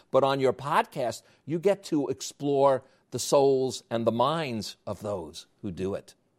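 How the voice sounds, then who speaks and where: A medium-pitched man with a slight New York accent and lively intonation at a fairly slow pace, dry and close with no echo, in a very clean recording with a silent background. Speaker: podcast host and interviewer. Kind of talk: interview.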